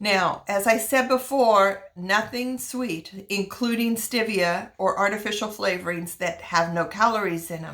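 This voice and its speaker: A woman with an unremarkable speaking voice talks at a fairly slow pace and medium pitch, with hardly any pauses. Her loudness swings a lot, while her pitch variation stays ordinary. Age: 60s. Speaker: wellness vlogger. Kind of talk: personal testimony and tips.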